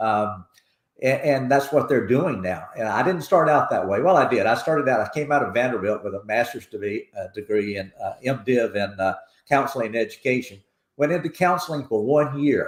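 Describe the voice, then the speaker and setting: A man's medium-pitched voice with a Tennessee accent, lively intonation and a fairly quick pace. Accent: Tennessee, Southern. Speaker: foundation president. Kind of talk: interview.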